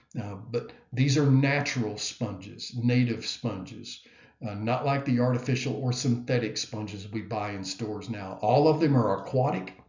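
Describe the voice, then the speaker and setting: A man speaks at a moderate pace with ordinary pitch variation. There is audible echo from the room. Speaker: biology professor. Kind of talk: lecture. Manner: hesitant with many fillers.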